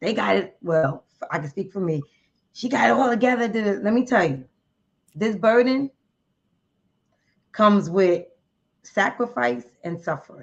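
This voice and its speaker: This New Jersey accent comes with vocal fry and very wide pitch swings. Long, frequent pauses break up the speech. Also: woman, medium pitch for a woman, moderate pace. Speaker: member of a women's charity group. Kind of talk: podcast interview.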